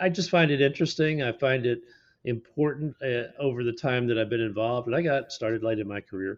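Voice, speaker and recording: A man talks very fast at a medium pitch with ordinary pitch variation. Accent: American. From Texas, Fort Worth. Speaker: radiologist. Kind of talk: podcast interview.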